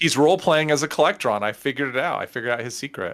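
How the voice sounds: A man with a fairly high voice and an American accent, very fast pace and lively intonation, on a very clean recording with a silent background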